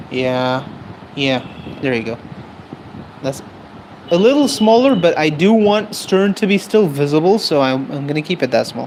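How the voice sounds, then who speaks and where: Noticeable background noise sits under speech at a moderate pace that breaks into long, frequent pauses. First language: not English. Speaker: streaming artist. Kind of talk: casual live-stream chat while drawing. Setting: live stream.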